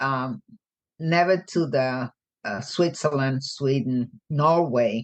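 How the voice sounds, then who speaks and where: Speaking at a very slow pace, a woman with a very deep, low pitch uses ordinary pitch variation. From Puerto Rico, raised mainly in US. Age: 80s+. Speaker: guest. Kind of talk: casual chat. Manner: halting.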